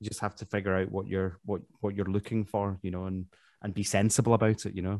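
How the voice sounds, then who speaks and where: Very fast and in a monotone, flat manner, a man with a Glaswegian accent speaks at a fairly low pitch, the sound dry and close with no echo against a quiet background. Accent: Glaswegian Scottish. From Glasgow, Scotland. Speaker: professional trumpet player. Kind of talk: interview conversation.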